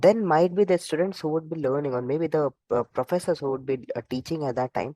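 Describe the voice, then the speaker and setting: A soft-spoken man with a fairly high pitch and dark, mellow tone, at a fairly quick pace with ordinary pitch variation, in a dry, close sound with no echo. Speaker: AI instructor. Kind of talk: online lecture. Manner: halting.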